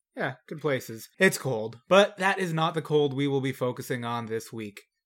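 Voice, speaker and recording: Against a very clean recording with a silent background, a man speaks in a plain, everyday voice. His pitch is fairly high, his intonation lively and his pace moderate. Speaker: podcast host. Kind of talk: casual banter podcast. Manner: joking, casual.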